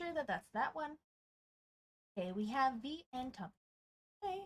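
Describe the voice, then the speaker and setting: A woman with a squeaky, high voice speaks at a moderate pace, her pitch swinging very widely. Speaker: game streamer and esports co-caster. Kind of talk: casual live stream chat. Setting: live stream. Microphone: audio cutting out, peaking and compression problems.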